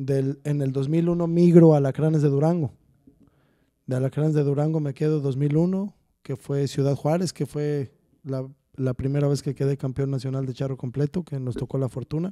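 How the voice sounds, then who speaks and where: Delivered at a moderate pace over a quiet background, the voice has a dark, mellow tone and fairly even intonation. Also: man. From central Mexico, Texcoco; central Mexico. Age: 40s. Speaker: charro rider; podcast guest. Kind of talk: casual chat. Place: studio. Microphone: studio mic.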